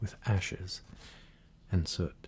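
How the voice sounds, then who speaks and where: Soft-spoken and somewhat breathy, a man talks very slowly with a very deep, low, dark, mellow voice and fairly even intonation. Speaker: ASMR creator. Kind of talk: poetry reading.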